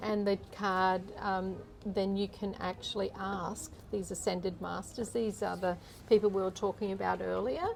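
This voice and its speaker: Soft-spoken and at a moderate pace, a woman speaks in a medium pitch with monotone, flat intonation. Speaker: energy healer. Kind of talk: interview answer.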